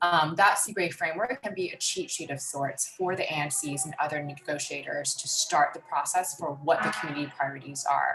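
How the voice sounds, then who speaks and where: Noticeable background noise sits behind a woman with a fairly low pitch and ordinary pitch variation. She talks at a fairly quick pace with hardly any pauses. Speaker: law clinic presenter. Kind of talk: training presentation. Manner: fast.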